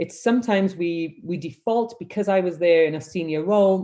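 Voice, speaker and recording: A woman with a Welsh accent, a dark, mellow tone, lively intonation and a moderate pace. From Wales. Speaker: humanitarian leadership consultant. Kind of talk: webinar presentation. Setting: video call.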